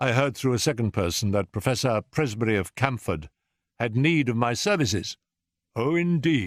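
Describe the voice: Lively intonation marks this plain reading aloud. Nothing disturbs the quiet background.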